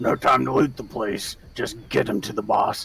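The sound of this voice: Raspy and at medium pitch, a man's put-on character voice goes at a moderate pace.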